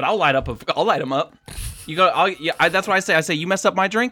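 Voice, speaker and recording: A man's high-pitched, raised and projected voice, animated and bright with a sharp tone, at a very fast pace with ordinary pitch variation. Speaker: podcast co-host. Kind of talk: casual banter about wrestling. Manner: animated, profane.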